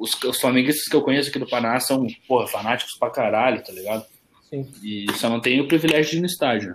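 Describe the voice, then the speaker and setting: This man speaks at a very fast pace. His pitch is medium, with ordinary variation. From Curitiba, southern Brazil. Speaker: podcast co-host. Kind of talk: casual chat.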